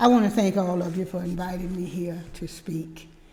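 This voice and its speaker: A woman speaks at a medium pitch with a dark, mellow tone and fairly even intonation. Audible room echo surrounds her voice. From Pensacola, Florida (US South). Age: 80s+. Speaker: community historian and museum leader. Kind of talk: guest talk. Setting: church service.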